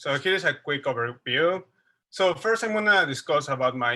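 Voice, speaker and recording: In a very clean recording with a silent background, a man with a Mexican accent speaks in a bright, sharp tone. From Mexico City. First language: Spanish. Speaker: wildlife researcher. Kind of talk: lecture. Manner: halting.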